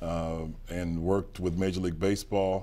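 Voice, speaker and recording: The speaker is a man. His accent is American. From western Pennsylvania, near Pittsburgh; Pennsylvania. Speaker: businessman and lawyer; lawyer. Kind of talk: interview. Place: studio. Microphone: lapel.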